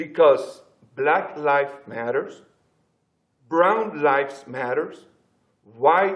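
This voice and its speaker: In a strong Spanish accent, a man talks at a very slow pace. His tone is passionate. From Latin America. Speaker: pastor. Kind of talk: panel discussion.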